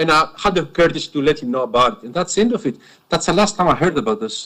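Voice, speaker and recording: A man with a Greek accent speaks at a very fast pace. His voice is fairly high, with lively intonation. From Greece. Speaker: witness, former police officer. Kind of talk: cross-examination testimony. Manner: halting, repeats words.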